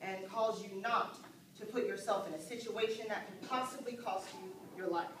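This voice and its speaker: Noticeable background noise and audible room echo surround a voice with fairly even intonation at a moderate pace. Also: woman. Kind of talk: dramatic monologue to an audience. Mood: earnest, serious. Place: stage. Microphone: camera far.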